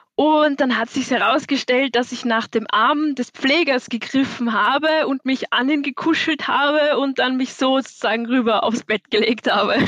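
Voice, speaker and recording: A woman's high voice with a slight Viennese accent, at a moderate pace with hardly any pauses, very even loudness and ordinary pitch variation, dry and close with no echo. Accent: little Viennese. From Austria, Vienna. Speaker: listener, student. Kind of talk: casual chat. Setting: video call.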